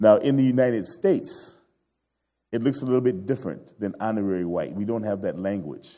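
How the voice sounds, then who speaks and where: Lively intonation and a dark, mellow tone mark this fairly quick voice with an American accent. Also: man, medium pitch for a man. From Chicago South Side. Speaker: guest preacher and anti-racism organizer. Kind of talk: sermon.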